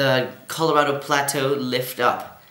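A man talks at a fairly slow pace, and audible room echo surrounds his voice. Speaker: presenter. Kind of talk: educational lesson. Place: home room.

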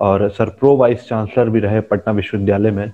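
Pitched fairly low, a man speaks at a fairly slow pace with monotone, flat intonation. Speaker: sociology channel host, interviewer. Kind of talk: interview introduction to camera. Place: home room. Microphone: video call.

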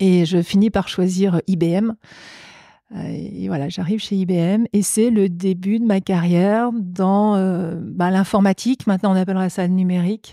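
The sound is dry and close with no echo as a woman speaks at a fairly slow pace. Her tone is dark and mellow, her intonation fairly even. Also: medium pitch for a woman. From France, Savoie. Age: 50s. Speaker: business executive. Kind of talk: interview.

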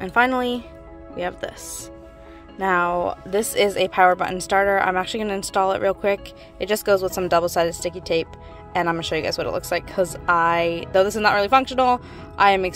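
Faint music plays behind a woman speaking very fast. The sound is dry with no echo, and her intonation is fairly even. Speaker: vlogger. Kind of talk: casual vlog chat. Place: car. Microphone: phone near.

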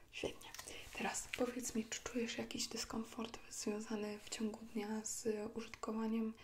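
A soft-spoken woman talks at a moderate pace in a gentle, monotone, flat manner. Light background noise is present. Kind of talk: ASMR roleplay. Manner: soft, gentle ASMR speaking. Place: home room. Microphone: lapel.

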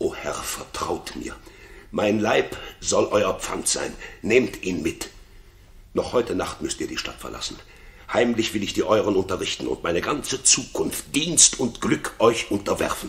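Putting on a character voice, a man speaks low and fairly slowly, with big pitch swings and vocal fry.

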